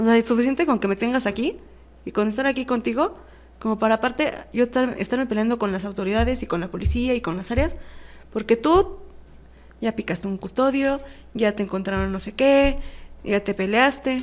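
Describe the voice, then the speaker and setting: The talk moves at a fairly quick pace with lively intonation, broken by long, frequent pauses. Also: woman, fairly high pitch for a woman. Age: 20s. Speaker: prison inmate. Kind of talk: testimony.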